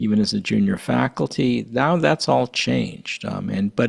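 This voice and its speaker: Pitch swinging very widely, a man with an American accent talks at a moderate pace. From US Northeast, Connecticut. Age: 60s. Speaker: vaccine scientist and pediatrician. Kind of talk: panel discussion. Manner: halting, many repetitions.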